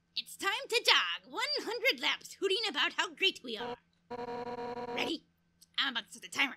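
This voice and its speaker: In a put-on character voice of extremely high pitch, the speaker moves at a moderate pace with very wide pitch swings and long, frequent pauses. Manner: bossy, energetic, shouting.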